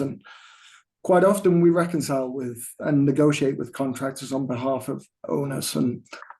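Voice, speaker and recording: A man with an English accent speaks at a moderate pace, his pitch fairly high for a man. His tone is dark and mellow. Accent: English accent, still noticeable. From England. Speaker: construction cost estimator. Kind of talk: presentation at a town council meeting. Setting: remote, dialed in to meeting. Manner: hesitant, with fillers and repetitions.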